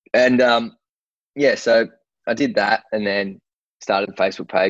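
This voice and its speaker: A man with an Australian accent. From Australia, Sydney. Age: 30s. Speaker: sportswear founder and fighter manager. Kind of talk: casual interview chat. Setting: remote call. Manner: halting, many fillers.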